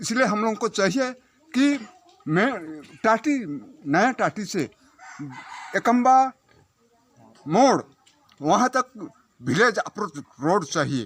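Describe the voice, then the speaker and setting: A man speaks at a high pitch with very wide pitch swings and long, frequent pauses. The sound is dry and close with no echo. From Jharkhand, India. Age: 60s. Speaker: villager. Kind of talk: interview.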